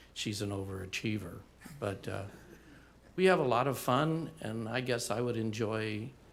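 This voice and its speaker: A medium-pitched man at a moderate pace, lively in intonation, with long, frequent pauses and audible room echo. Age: 60s. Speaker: resident giving public comment. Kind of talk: public comment at meeting.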